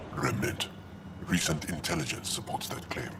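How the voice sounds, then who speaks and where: A man speaks in a put-on character voice at a moderate pace. Loud noise fills the background. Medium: machinima.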